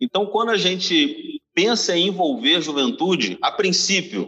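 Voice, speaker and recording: The intonation is lively. The pace is fairly slow. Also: man. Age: 30s. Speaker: pastor. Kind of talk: casual chat.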